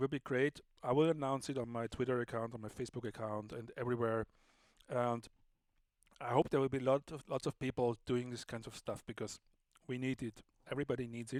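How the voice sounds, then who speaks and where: A man in a German accent speaks at a medium pitch with monotone, flat intonation and long, frequent pauses. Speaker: livestream host and sound artist. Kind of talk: casual live stream chat. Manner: casual, slightly halting.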